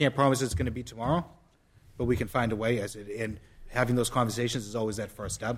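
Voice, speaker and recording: The speech comes at a very fast pace with a somewhat breathy quality. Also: man. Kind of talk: casual public outreach. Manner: fast talker.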